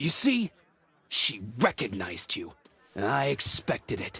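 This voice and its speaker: Using a put-on character voice, a man speaks fairly low at a fairly slow pace. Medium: video game.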